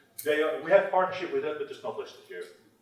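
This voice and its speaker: Light background noise sits under a man's voice. The room echo is audible. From Netherlands. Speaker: tech industry manager. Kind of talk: conference presentation. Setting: stage with audience. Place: meeting room.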